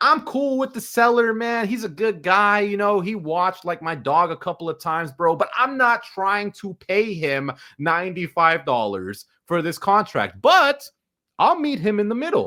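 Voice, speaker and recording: A man's high-pitched voice is raised and projected, bright and sharp in tone, swinging very widely in pitch. He sounds animated at a moderate pace, in a very clean recording with a silent background. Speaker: online finance educator. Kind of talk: tutorial.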